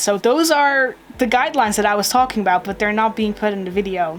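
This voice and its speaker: A woman in a non-native accent at a very fast pace, with noticeable background noise. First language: not English. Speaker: YouTuber reacting to a video. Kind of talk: reaction video commentary. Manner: halting, repeats words.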